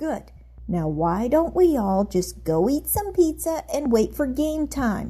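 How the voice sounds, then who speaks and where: A female-sounding put-on character voice, pitched fairly high, speaks at a fairly slow pace. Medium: read story.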